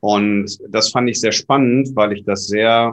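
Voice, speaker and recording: Here a man speaks at a fairly low pitch. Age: 40s. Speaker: party board member, event technician. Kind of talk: podcast interview.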